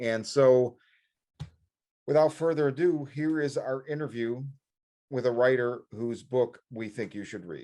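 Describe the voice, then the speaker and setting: In a Chicago accent, a man talks at a medium pitch with a dark, mellow tone and ordinary pitch variation. His pace is fairly slow, with big swings in loudness and long, frequent pauses. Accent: Chicago American. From Chicago, south side. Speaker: horror podcast co-host. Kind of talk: casual interview chat.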